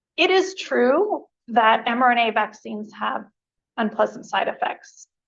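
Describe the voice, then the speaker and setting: A woman's fairly high voice moves with lively intonation and shows vocal fry. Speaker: immunology researcher and lecturer. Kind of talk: lecture. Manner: fast.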